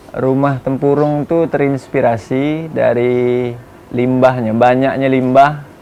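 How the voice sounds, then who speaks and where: A man's very slow, monotone, flat delivery over noticeable background noise. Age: 30s. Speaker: coconut shell craftsman. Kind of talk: interview. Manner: casual, halting with fillers.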